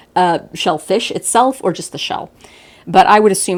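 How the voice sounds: With ordinary pitch variation, a natural reading voice runs through the recording.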